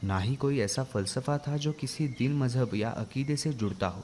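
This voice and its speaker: A man's voice, somewhat breathy, carries ordinary pitch variation. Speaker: narrator. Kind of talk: radio drama narration.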